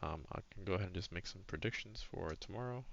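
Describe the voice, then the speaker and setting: A soft-spoken man talks at a fairly quick pace, his fairly low voice carrying lively intonation. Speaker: retail options trader, trading journal vlogger. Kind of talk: screen-share trading recap. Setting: home, recording at a computer. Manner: quiet, soft-spoken; casual, with many fillers.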